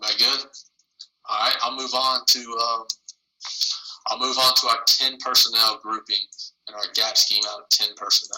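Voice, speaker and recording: A man with an American accent speaks with long, frequent pauses and big swings in loudness. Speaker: football coach. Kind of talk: online coaching clinic presentation. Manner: fast.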